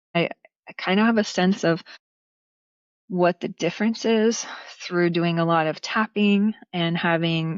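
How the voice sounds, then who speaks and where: Fairly low in pitch, a woman with a Pacific Northwest accent speaks at a fairly slow pace with fairly even intonation. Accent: Pacific Northwest American. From Portland, Oregon. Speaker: dance teacher and performer. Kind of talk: interview answer.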